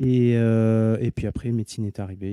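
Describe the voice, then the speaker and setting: A man with a dark, mellow tone speaks at a fairly low pitch with fairly even intonation. His pace is fairly slow, and the sound is dry and close with no echo. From southern France (Montpellier). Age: 40s. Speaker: sports doctor. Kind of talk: interview. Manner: halting.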